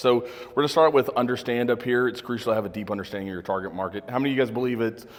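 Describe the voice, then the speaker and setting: The speaker is a man. Noticeable noise sits in the background. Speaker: media company owner and presenter. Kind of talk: business presentation to audience. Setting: room with live audience, no microphone. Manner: loud; casual, joking.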